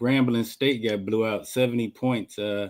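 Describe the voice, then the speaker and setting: This is an ordinary speaking voice. A man talks at a medium pitch and a moderate pace. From Wisconsin. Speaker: cigar brand owner, Marine veteran. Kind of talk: casual interview.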